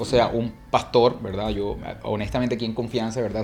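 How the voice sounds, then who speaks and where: The man talks at a medium pitch with monotone, flat intonation. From Colombia. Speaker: church movement leader. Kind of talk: interview conversation.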